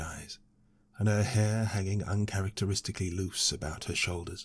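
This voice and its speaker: Somewhat breathy and fairly low in pitch, a man with a British accent is heard in a very clean recording with a silent background. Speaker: audiobook narrator. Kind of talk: audiobook fantasy story reading.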